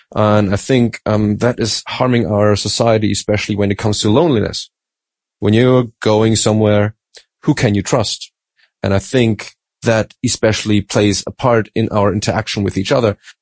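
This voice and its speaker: A man with a German accent speaks at a moderate pace and a fairly low pitch, with fairly even intonation and very even loudness, in a dry, close sound with no echo against a quiet background. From Germany. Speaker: Bible study panelist. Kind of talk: Bible study discussion.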